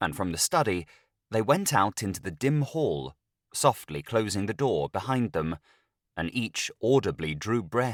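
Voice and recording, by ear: Over a quiet background, the clip features reading aloud in a natural voice.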